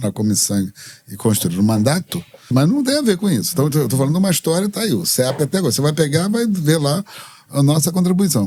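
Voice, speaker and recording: A somewhat breathy man races along at a very fast pace, his pitch swinging very widely. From Brazil, Rio de Janeiro. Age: 70s. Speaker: activist and religious leader. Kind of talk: interview.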